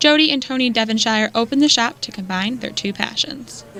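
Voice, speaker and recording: A woman at a fairly quick pace with ordinary pitch variation, against noticeable background noise. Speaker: journalist. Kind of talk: TV news reporter delivery.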